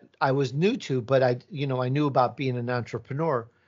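In a Midwestern accent, a man speaks at a moderate pace and medium pitch with ordinary pitch variation. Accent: Midwest American. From Chicago, US Midwest (born in Italy). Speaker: podcaster. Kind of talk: casual interview chat.

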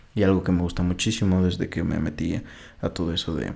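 Fairly even intonation from a man with a very deep, low pitch, a dark, mellow tone and a central Mexican accent at a moderate pace. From Mexico, Puebla. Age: 20s. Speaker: podcaster. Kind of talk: solo monologue. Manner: halting.

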